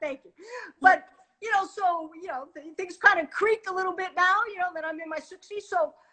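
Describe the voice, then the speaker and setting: Raising and projecting her voice, a woman speaks at a moderate pace in an extremely high pitch with a bright, sharp tone, fairly even intonation, and big swings in loudness. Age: 60s. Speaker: retired police chief. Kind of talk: interview. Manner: hesitant, many fillers.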